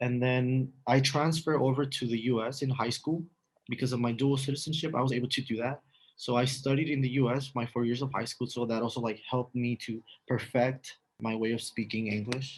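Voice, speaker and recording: In a Mexican accent, a man talks fairly quickly with monotone, flat intonation. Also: medium pitch for a man. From northern Mexico, Matamoros (Tamaulipas border). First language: Spanish. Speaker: university student. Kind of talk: casual interview.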